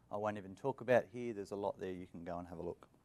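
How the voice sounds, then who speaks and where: Ordinary pitch variation in a man's voice, with an Australian accent. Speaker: IT engineer, conference speaker. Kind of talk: conference presentation.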